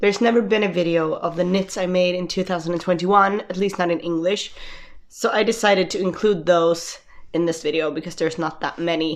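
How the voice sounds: A woman speaks at a fairly low pitch with fairly even intonation.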